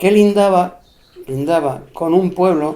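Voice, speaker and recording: A man with an Extremaduran accent, a dark, mellow tone and ordinary pitch variation. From Spain, Extremadura (Cáceres). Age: 70s. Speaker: elderly local interviewee recalling rural life. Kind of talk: oral history interview.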